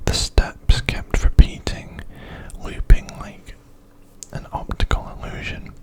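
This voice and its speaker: Noticeable background noise surrounds a very slow whisper. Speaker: ASMR creator. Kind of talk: horror story narration. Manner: soft, slow, whispered.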